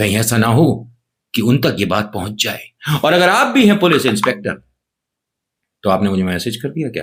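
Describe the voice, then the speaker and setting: The man's intonation is lively, his pitch medium and his pace moderate. He leaves long, frequent pauses. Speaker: news commentary youtuber. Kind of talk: comedic news narration. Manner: animated; subdued, slightly muffled. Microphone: cheap camera.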